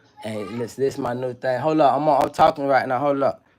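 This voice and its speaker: There is music in the background. Over it, a man speaks with ordinary pitch variation. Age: 30s. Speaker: live streamer. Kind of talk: casual live stream chat. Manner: animated.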